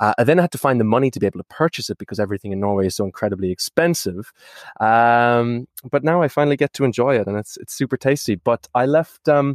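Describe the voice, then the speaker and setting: A man with an Irish accent talks at a very fast pace, at a medium pitch, with lively intonation. The sound is dry and close with no echo. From Ireland. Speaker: startup founder. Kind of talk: casual chat. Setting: video call.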